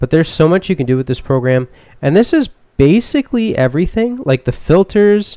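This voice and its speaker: Soft-spoken and dark, mellow in tone, a man talks at a moderate pace with lively intonation, the sound dry and close with no echo. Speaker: youtuber. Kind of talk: tutorial. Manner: casual, halting.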